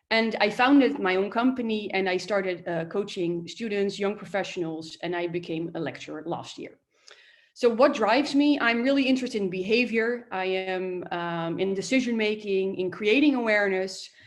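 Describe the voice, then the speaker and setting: A woman speaks with a Dutch accent at medium pitch. Her pace is moderate, with ordinary pitch variation. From Netherlands. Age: 30s. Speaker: coach and lecturer. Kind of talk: workshop talk. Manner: hesitant, many fillers.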